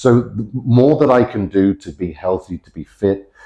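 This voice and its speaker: A man speaks in a dark, mellow tone with vocal fry and lively intonation. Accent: British. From Britain. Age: 40s. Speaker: fitness coach. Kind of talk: casual chat.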